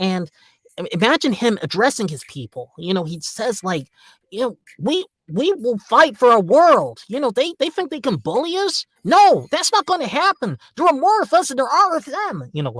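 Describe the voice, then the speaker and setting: A man does a put-on character voice, extremely high for a man, with very wide pitch swings. The recording is very clean, with a silent background. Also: moderate pace. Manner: rousing, addressing his people.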